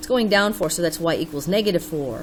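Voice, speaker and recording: An animated woman's fairly low voice with ordinary pitch variation and noticeable background noise. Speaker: math teacher. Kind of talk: tutorial.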